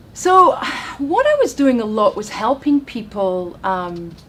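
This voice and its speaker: Speaking very slowly in a Scottish accent, a woman uses a high pitch and very wide pitch swings over noticeable background noise. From Scotland. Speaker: relationship and dating coach. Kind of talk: interview on chat show.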